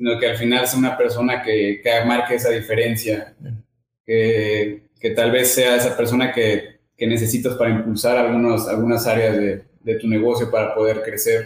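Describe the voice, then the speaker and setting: A man at a medium pitch and moderate pace, monotone and flat, with very even loudness. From Mexico, Veracruz. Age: 30s. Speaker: business owner. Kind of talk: interview.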